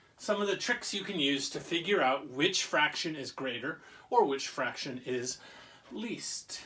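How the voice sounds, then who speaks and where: A man talks fairly slowly while noticeable noise carries on in the background. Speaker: teacher. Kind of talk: lesson for children. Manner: casual, conversational.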